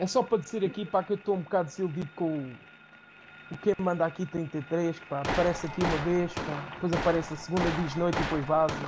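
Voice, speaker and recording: The speaker's playful tone races at a very fast pace with ordinary pitch variation, over noticeable background noise. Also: man, high pitch for a man. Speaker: gaming streamer. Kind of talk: casual chat while playing a game. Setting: live stream. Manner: joking, with playful accent imitations.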